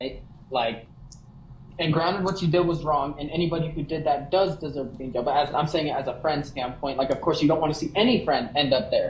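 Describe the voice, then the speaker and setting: A man speaks at a very fast pace with a fairly high pitch and ordinary pitch variation. There is audible room echo. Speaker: livestreamer. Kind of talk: heated conversation. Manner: stuttering at times. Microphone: sound cutting out.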